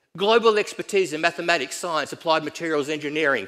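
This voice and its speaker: A bright, sharp, animated tone at a very fast pace, with ordinary pitch variation. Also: man. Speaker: economic development consultant. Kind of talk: conference presentation. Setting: stage with audience.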